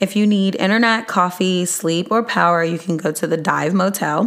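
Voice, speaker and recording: A woman speaks loud at a medium pitch with fairly even intonation. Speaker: podcast host. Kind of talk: podcast monologue sharing resources. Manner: trying to talk louder.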